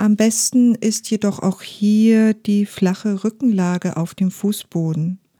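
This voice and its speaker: Calm and soothing, the voice has a dark, mellow tone and moves at a very slow pace, recorded dry and close with no echo. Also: woman. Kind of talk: guided meditation. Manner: slow, soft-spoken; calm, soothing, with long pauses.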